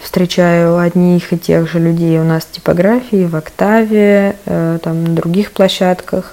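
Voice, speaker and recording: There is noticeable background noise behind this woman. She talks at a very slow pace with a fairly low pitch. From Tula. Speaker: cultural centre event curator. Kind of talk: recorded voice message story.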